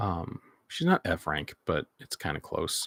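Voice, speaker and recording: The recording is dry and close, without any echo. It features a man talking. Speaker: toy collector streamer. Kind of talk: casual livestream commentary. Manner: halting.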